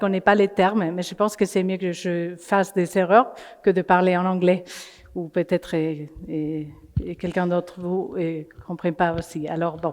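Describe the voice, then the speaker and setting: A woman with a non-native accent, medium pitch, fairly even intonation and a fairly slow pace. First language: not French (speaking French). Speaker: climate coalition representative. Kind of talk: conference talk. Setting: in person before an audience. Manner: halting, many hesitations.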